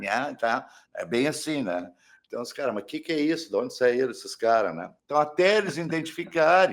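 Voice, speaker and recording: A man speaks at a moderate pace in a fairly high pitch with very wide pitch swings. The recording is very clean, with a silent background. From Porto Alegre, southern Brazil. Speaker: rock musician, saxophonist and singer. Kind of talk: interview.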